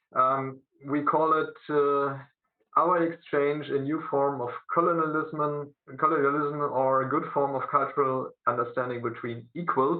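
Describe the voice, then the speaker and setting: A man with a German accent speaks at a fairly slow pace, his pitch fairly high. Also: fairly even intonation. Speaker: teacher. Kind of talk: presentation at a video conference. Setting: video conference. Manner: halting, many fillers.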